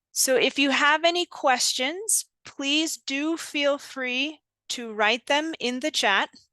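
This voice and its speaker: Over a quiet background, a woman uses a raised, projected voice with a high pitch and a bright, sharp tone, talking at a very slow pace in a dry, close sound with no echo. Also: ordinary pitch variation. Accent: American. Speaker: GBV subsector coordinator, webinar presenter. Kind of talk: online training presentation. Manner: slow, deliberately enunciated.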